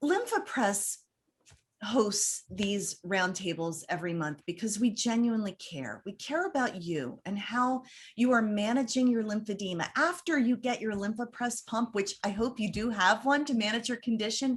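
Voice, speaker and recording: Animated and somewhat breathy, a woman with a fairly high pitch talks at a moderate pace with lively intonation. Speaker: roundtable moderator. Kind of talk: online panel discussion.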